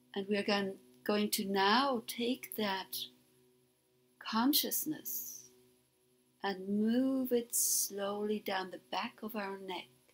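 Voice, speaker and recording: A woman speaks at a very slow pace, with long, frequent pauses and lively intonation. Music plays in the background. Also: medium pitch for a woman. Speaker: meditation guide. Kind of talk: guided meditation. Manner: soothing, hypnotic.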